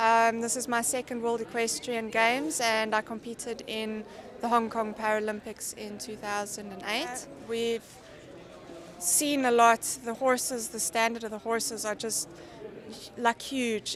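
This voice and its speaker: At a moderate pace, a woman with a fairly high pitch speaks with fairly even intonation over noticeable background noise. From South Africa, Johannesburg. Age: 20s. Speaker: para equestrian athlete. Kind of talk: interview.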